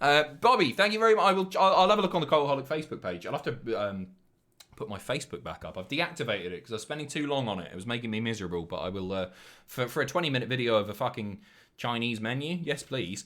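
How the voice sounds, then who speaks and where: Talking very fast in a southern English accent, a man uses a bright, sharp tone with very wide pitch swings and big swings in loudness. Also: medium pitch for a man. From southern England. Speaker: live streamer. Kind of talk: casual chat reading viewer messages.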